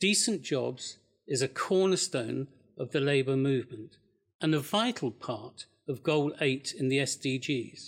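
Pitched fairly high, a man with an unremarkable speaking voice uses lively intonation at a fairly slow pace. The recording is very clean, with a silent background. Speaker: politician. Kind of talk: panel debate.

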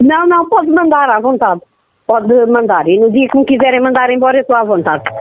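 A woman speaks at a fairly quick pace in a high pitch with lively intonation and very even loudness, with music in the background. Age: 40s. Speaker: prank call victim. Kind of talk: phone conversation. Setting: phone call.

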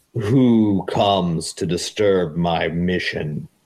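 A man talks in a put-on character voice with a very deep, low pitch. He goes at a very slow pace. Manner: ominous.

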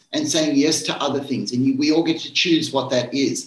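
Noticeable background noise sits under a man speaking at a fairly high pitch with lively intonation. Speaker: psychiatrist answering caller questions. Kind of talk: live radio Q&A advice.

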